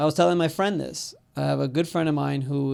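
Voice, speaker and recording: A man with an unremarkable speaking voice, fairly high in pitch, talks at a moderate pace on a very clean recording with a silent background. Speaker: podcast host, entrepreneur and business broker. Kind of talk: podcast interview talk. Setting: studio.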